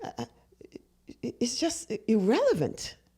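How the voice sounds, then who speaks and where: This woman speaks with a non-native accent and a dark, mellow tone. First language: not English. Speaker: podcast co-host. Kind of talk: casual chat.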